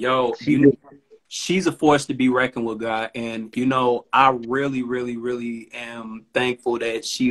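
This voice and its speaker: Monotone, flat delivery at a fairly slow pace over a quiet background. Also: man. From Chicago. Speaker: rapper. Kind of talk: casual chat. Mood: relaxed, appreciative. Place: home room. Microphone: phone near.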